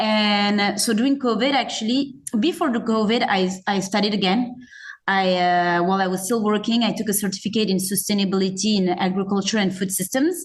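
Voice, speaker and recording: A woman with a French accent, somewhat breathy, at a medium pitch with ordinary pitch variation, very even loudness and a fairly quick pace. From France. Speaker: zero-waste store owner. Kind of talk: podcast interview. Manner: hesitant, many fillers.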